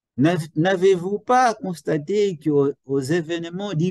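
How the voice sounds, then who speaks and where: The pace is very slow, with a dark, mellow tone from a man. The sound is dry and close, with no echo. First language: Portuguese (speaking French). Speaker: psychology professor. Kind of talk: educational lecture. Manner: halting, with repetitions.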